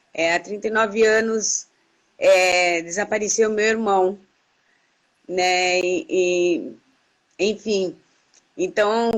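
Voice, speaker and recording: Her intonation fairly even, a woman talks very slowly. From Brazil. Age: 60s. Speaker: activist. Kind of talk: interview. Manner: halting.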